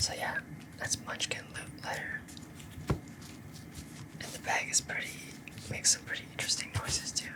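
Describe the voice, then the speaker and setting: Someone whispers at a moderate pace, with long, frequent pauses and noticeable background noise. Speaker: ASMR creator. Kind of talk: ASMR trigger video talk. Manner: soft-spoken.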